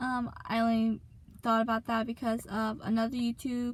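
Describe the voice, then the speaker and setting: Her high-pitched voice stays monotone, with flat intonation throughout as the woman speaks. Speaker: YouTuber. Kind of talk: casual chat. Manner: fast; hesitant, many fillers.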